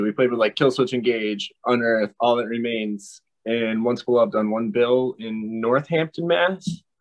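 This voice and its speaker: Speaking at a medium pitch for a man, he has a normal speaking voice with ordinary pitch variation. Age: 30s. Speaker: guitarist. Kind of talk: interview.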